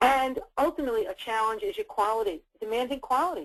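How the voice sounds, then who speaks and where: With a New York accent, a woman speaks in very wide pitch swings. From US Northeast, New York City. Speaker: dietitian and food service consultant. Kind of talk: webinar presentation. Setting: webinar.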